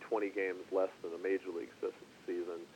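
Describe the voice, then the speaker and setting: A man speaks at a moderate pace. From Minnesota, US Midwest. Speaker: retired baseball player. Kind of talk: interview.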